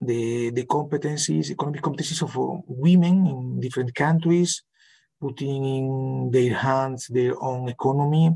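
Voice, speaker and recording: A somewhat breathy man's voice of medium pitch, in a Spanish accent. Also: ordinary pitch variation, moderate pace. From Spain. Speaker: professor. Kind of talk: online conference Q&A. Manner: halting.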